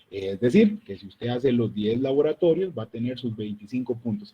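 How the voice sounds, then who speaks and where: Somewhat breathy, a man at a medium pitch speaks with lively intonation. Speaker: university lecturer. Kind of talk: online lecture. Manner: serious.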